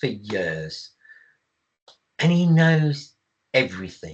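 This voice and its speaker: This man's voice is somewhat breathy. His pitch swings very widely. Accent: English. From England. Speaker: IT service management expert. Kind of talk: webinar presentation. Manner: halting with fillers.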